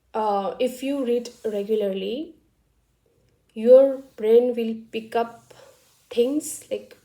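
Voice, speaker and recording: Very slowly, a woman speaks in a fairly high pitch with a dark, mellow tone and ordinary pitch variation. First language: not English; English is third language. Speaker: vlogger. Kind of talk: casual talk to camera. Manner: halting, many fillers.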